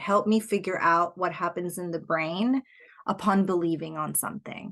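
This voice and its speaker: A woman speaks at a fairly slow pace with a Spanish accent against a quiet background. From Puerto Rico. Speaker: life coach. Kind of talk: podcast interview. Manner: reflective, searching for words.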